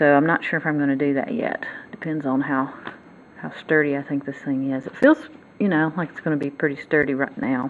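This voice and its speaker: This woman talks with a Southern US accent in a very deep, low pitch. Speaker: motorcycle hobbyist and DIY fabricator. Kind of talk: casual tutorial. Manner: halting.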